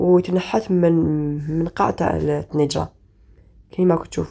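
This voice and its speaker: The woman's voice has a dark, mellow tone. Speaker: cooking channel host. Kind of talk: cooking tutorial. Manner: halting.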